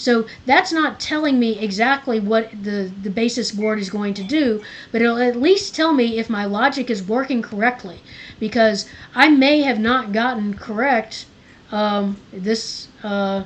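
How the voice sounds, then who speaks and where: At a fairly slow pace, a woman speaks at a fairly high pitch with ordinary pitch variation. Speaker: supplemental instruction leader for a college lab. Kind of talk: tutorial. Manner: halting.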